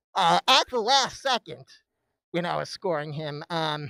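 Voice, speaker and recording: The speaker moves at a moderate pace. The recording is very clean against a silent background. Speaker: reaction streamer. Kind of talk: live stream commentary. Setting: live stream at home desk. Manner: halting, many fillers.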